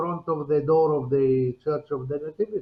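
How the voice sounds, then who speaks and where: A man with an Arabic accent speaks with ordinary pitch variation. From Palestine, Bethlehem. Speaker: interview guest. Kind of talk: casual chat. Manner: halting.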